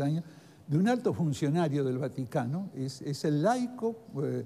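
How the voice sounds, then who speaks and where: With lively intonation, a man speaks at a fairly slow pace in a fairly high, somewhat breathy voice that has a dark, mellow tone. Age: 80s+. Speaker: former ambassador. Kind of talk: TV interview. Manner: halting.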